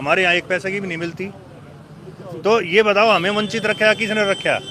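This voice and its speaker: A man's raised, projected voice, high-pitched, with fairly even intonation and noticeable background noise. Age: 60s. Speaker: villager interviewed on the street. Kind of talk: street interview.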